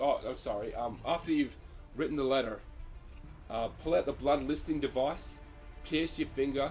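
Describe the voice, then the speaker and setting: Over music in the background, a man speaks at a moderate pace with long, frequent pauses. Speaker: occult hobbyist. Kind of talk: casual talk to camera. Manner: hesitant, many fillers.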